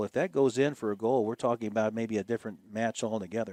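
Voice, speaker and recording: With an American accent and a plain, everyday voice, a man talks at a fairly quick pace in a medium pitch, the sound dry and close with no echo over a quiet background. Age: 60s. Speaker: play-by-play broadcaster. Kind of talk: live commentary. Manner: casual, with many fillers.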